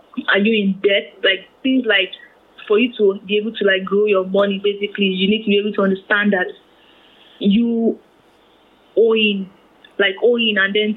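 Monotone, flat intonation at a moderate pace. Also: woman. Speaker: personal finance blogger. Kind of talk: interview.

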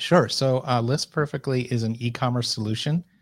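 This is a normal speaking voice. A man talks at a moderate pace with an American accent. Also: very clean recording, silent background. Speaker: e-commerce content director. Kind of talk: interview.

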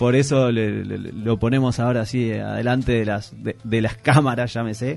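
In a Uruguayan accent, a man speaks at a moderate pace with medium pitch, monotone, flat intonation and hardly any pauses. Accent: Uruguayan Rioplatense Spanish. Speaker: podcast host. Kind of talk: casual chat. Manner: halting.

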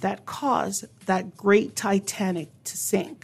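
A woman at a very slow pace, in a very clean recording with a silent background. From not from Newfoundland. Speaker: radio host. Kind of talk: radio show. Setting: studio. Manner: animated.

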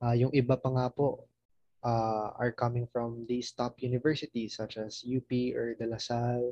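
Monotone, flat intonation at a fairly slow pace, with a Filipino accent and a dry, close sound with no echo. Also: man. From Mindanao, Philippines. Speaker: college student. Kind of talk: casual interview chat. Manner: polite, respectful, uses po.

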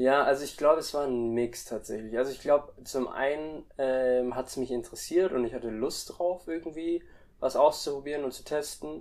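Speaking at a moderate pace, a man with a fairly high pitch uses ordinary pitch variation and big swings in loudness. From Germany and Indonesia. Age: 20s. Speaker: freelance web developer. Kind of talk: interview. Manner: hesitant, many fillers.

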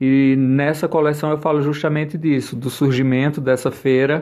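A man speaks at a fairly slow pace. His medium-pitched voice stays monotone and flat. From Brazilian Northeast, Pernambuco (Santa Cruz do Capibaribe). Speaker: fashion designer and fashion teacher. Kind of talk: short video interview presenting his collection.

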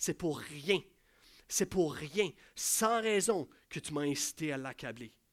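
In a very clean recording with a silent background, a man speaks at a fairly slow pace in an animated tone with ordinary pitch variation. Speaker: pastor. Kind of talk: sermon.

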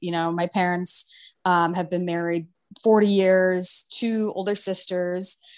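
A woman with an American accent and medium pitch against a quiet background. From US Midwest, small-town Ohio. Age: 30s. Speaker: entrepreneur. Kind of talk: podcast interview.

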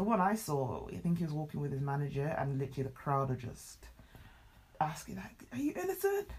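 Fairly quick speech with a British accent. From Britain, Nigerian heritage. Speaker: podcast co-host. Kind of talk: casual chat. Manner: fast, with many fillers and restarts.

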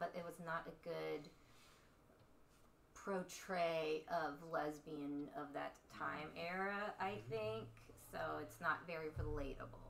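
Speaking in a slight Texas accent, a woman has a very deep, low pitch with ordinary pitch variation. Her pace is very slow, broken by long, frequent pauses. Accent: light Texas.

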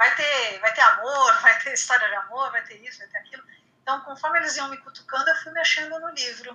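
A woman with a high voice and lively intonation speaks at a fairly quick pace, her loudness swinging widely. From Brazil, Santos (São Paulo coast). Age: 50s. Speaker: writer. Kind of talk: casual interview.

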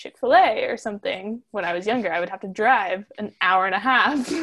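A woman with an American accent talks at a moderate pace in a plain, everyday voice, fairly high in pitch. The sound is dry and close, with no echo. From Central Florida. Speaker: zine writer. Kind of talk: casual chat. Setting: video call from her bedroom.

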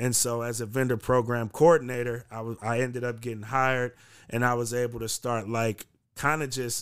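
Fairly quick and fairly even in intonation, a man talks in an ordinary speaking voice with an American accent. The recording is very clean, with a silent background. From US West Coast, San Francisco Bay Area. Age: 30s. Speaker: journalist and community activist. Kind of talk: casual podcast interview.

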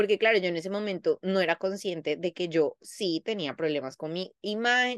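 Recorded dry and close with no echo against a quiet background, a woman speaks at medium pitch and a moderate pace, her tone animated and her pitch swinging very widely. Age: 30s. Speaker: psychologist. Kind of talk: casual chat.

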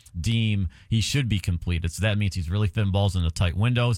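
A man speaks in an upbeat tone with a somewhat breathy voice, ordinary pitch variation, and a dry, close sound with no echo. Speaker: radio sports talk host. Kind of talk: radio DJ patter: show intro and sports talk. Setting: radio studio broadcast. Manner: upbeat, brisk broadcaster delivery, promotional.

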